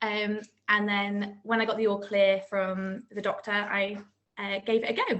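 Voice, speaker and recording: A woman with a West Country accent speaks at a medium pitch. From South Gloucestershire, England. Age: 20s. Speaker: new mum, maths teacher. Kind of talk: interview.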